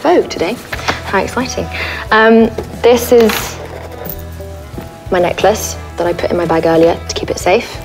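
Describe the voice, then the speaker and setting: A woman at a moderate pace, with long, frequent pauses and clear music in the background. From France. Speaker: actress. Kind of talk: casual talk to camera. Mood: playful, light, chatty. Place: home room.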